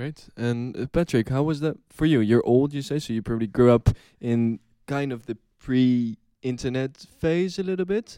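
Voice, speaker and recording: This man has a plain, everyday voice at a medium pitch with ordinary pitch variation. He talks at a moderate pace, and the sound is dry and close with no echo. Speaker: podcast host. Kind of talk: moderated discussion.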